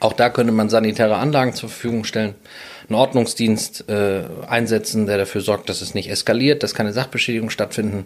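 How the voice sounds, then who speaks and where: At a very fast pace, a man with a medium pitch talks with fairly even intonation. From Sylt, northern Germany. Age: 30s. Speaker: businessman and landlord. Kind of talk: interview.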